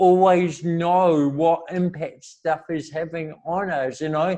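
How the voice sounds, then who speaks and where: Here a man is speaking. He has a New Zealand accent. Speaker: motivational speaker. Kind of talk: interview.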